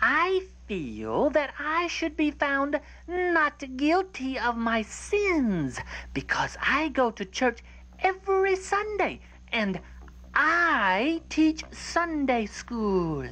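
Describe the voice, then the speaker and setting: A cartoonish character voice, female-sounding, at a very slow pace. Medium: puppet.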